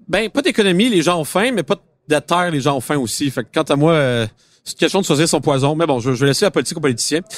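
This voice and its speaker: Fairly high for a man, his voice moves at a very fast pace with lively intonation and very even loudness, in a dry, close sound with no echo. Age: 20s. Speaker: car podcast host. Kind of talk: casual chat. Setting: auto show floor with public.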